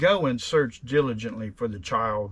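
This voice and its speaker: A man puts on a character voice at a medium pitch, with lively intonation. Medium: read story. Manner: sharp, scheming.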